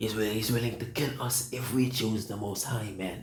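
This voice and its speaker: There is audible room echo around this voice. A man speaks at a medium pitch. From Suriname. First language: Sranan Tongo or Dutch. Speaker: preacher. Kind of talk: sermon. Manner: halting.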